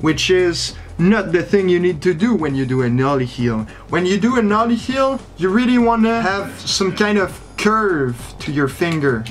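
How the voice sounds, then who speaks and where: A man talks at a moderate pace in a high pitch, with very wide pitch swings. Noticeable background noise runs behind him. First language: not English. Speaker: fingerboarder. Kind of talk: casual talk to camera.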